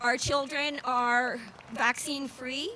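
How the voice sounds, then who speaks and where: Her pitch sits high. The woman's voice is raised and projected. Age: 60s. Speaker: rally speaker, former family counselor. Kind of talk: rally speech. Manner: halting.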